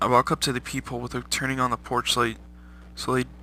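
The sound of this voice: The clip features an unforced reading voice.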